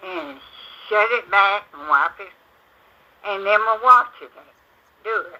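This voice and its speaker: With a Southern US accent, a woman speaks at a very slow pace, her medium pitch showing ordinary variation. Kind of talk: oral storytelling of family ghost stories. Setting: home recording.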